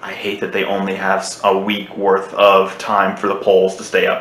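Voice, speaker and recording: A man speaks at a moderate pace. Audible room echo surrounds the voice. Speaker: gaming channel host. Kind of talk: casual vlog chat. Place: home room. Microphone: webcam.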